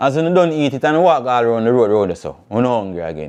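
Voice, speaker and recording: Speaking at a moderate pace, a man uses a medium pitch and lively intonation. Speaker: talk show host. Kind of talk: freestyle rant to camera. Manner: passionate, animated.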